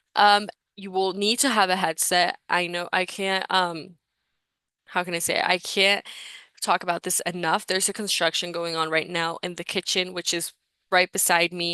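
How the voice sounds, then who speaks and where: In a Spanish accent, a woman speaks with monotone, flat intonation and a bright, sharp tone, recorded dry and close with no echo against a quiet background. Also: medium pitch for a woman, moderate pace. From Mexico. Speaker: recruitment session host. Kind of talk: live webinar presentation. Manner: casual, filler-heavy.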